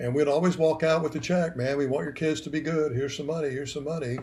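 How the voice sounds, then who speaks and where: A man with an American accent sounds somewhat breathy. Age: 70s. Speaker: retired band director. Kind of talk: interview. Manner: animated.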